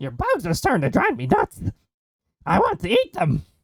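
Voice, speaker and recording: A put-on character voice sits at a middle pitch. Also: moderate pace. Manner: silly.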